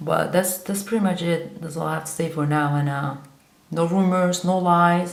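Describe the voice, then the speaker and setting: A woman with a Kurdish accent speaks at a fairly low pitch with fairly even intonation. Audible echo fills the room. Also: moderate pace. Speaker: vlogger. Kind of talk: monologue to camera. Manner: halting.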